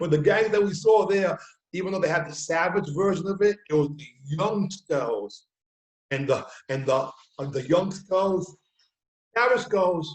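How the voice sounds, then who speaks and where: With a New York accent, a man with a high pitch speaks at a fairly slow pace, using ordinary pitch variation and leaving long, frequent pauses. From New York City, Bronx. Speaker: talk show host. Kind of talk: casual chat.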